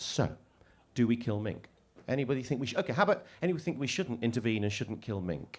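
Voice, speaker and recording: A man at medium pitch talks very fast, his pitch swinging very widely. He leaves long, frequent pauses. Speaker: author and conservation speaker. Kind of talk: festival talk.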